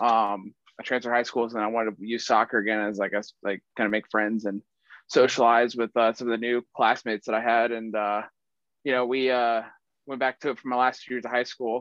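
A man's medium-pitched, monotone, flat delivery in an American accent at a fairly quick pace, with a dry, close sound with no echo and a quiet background. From US South, Marietta, Georgia. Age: 20s. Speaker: professional football punter. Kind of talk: casual interview.

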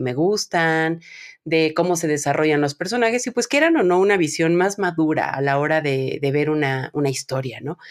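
In a very clean recording with a silent background and a dry, close sound with no echo, a woman with a very deep, low pitch speaks at a moderate pace with lively intonation. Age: 30s. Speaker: podcast host. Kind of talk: casual chat.

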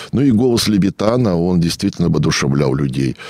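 Over noticeable background noise, a man talks in a very deep, low voice with lively intonation. The sound is dry and close with no echo, and his pace is moderate. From Russia, rural state farm settlement. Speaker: historian and local historian. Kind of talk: radio interview. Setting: radio studio.

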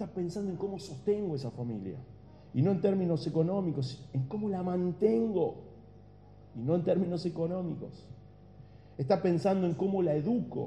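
Amid audible room echo, a man with an Argentine accent speaks at a moderate pace with long, frequent pauses, using a high pitch, a dark, mellow tone and ordinary pitch variation. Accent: Argentine Spanish (Rioplatense). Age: 40s. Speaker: pastor. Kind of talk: sermon.

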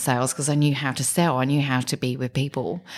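A woman with an English accent speaks in a very deep, low pitch and keeps her intonation fairly even. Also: very clean recording, silent background. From southern England, Kent. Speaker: business executive. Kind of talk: interview.

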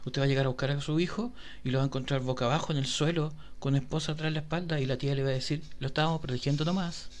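Speaking very fast with a Chilean accent, a man uses a fairly high pitch, fairly even intonation and very even loudness. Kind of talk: comedic segment.

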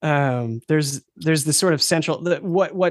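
Moving at a fairly quick pace, a man talks in a plain, everyday voice with ordinary pitch variation. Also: dry, close sound with no echo. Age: 50s. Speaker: game designer. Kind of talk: casual chat.

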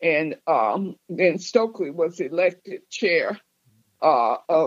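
Speaking very slowly with an American accent, a woman keeps a medium pitch and ordinary pitch variation. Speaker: civil rights veteran and former union organizer. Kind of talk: recorded interview.

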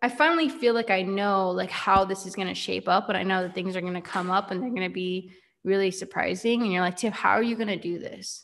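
A woman at a medium pitch with ordinary pitch variation, talking at a fairly quick pace. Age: 20s. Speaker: podcast host and network marketing entrepreneur. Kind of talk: solo podcast monologue.

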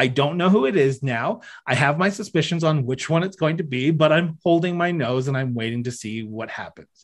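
A man's unremarkable speaking voice with a Canadian accent, fairly high in pitch, fairly quick with hardly any pauses and lively intonation. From Ontario, Canada. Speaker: podcast host and former political staffer. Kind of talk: casual interview conversation.

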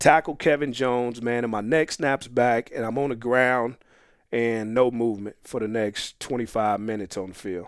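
A man speaks in an unremarkable speaking voice at medium pitch and a moderate pace, on a very clean recording with a silent background. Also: ordinary pitch variation. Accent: American. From Phoenix, Arizona (South Phoenix). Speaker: former football player and coach. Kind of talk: casual interview.

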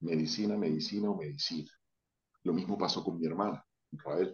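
With a plain, everyday voice, this man keeps a fairly low pitch and ordinary pitch variation. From Venezuela, Táchira. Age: 40s. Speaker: urologist. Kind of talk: casual interview.

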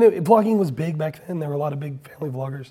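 A man with an American accent speaks with lively intonation in a fairly high pitch, his tone dark, mellow and somewhat breathy. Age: 40s. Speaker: podcast host. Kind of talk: casual interview conversation. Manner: animated.

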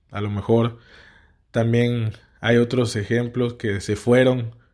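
A man with medium pitch, monotone, flat intonation and a fairly slow pace, on a very clean recording with a silent background. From Mexico, Tabasco. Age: 30s. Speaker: podcast host, politician. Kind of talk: political commentary monologue.

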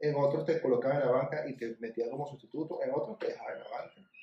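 A man speaks with a Venezuelan accent at a very fast pace. His pitch sits fairly high. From Venezuela (Maracaibo, then Caracas). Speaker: sports podcast co-host. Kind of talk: casual chat.

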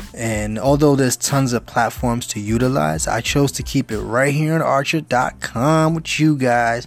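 A man with a New York accent at a medium pitch, fairly slow pace, ordinary pitch variation and hardly any pauses. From New York City (Bronx). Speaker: gaming youtuber. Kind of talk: channel intro monologue.

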